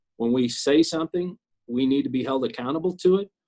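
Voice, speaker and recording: Speaking with an American accent, a man moves at a fairly quick pace with ordinary pitch variation. His pitch is fairly high, and the sound is dry and close with no echo. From Kansas City, Missouri. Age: 60s. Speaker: city councilman. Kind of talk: interview. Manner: halting, many repetitions.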